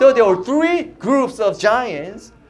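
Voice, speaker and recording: Speaking with a non-native accent, a man moves at a fairly slow pace through very wide pitch swings. Audible room echo surrounds his voice. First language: not English. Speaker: youth pastor. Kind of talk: sermon. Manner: animated.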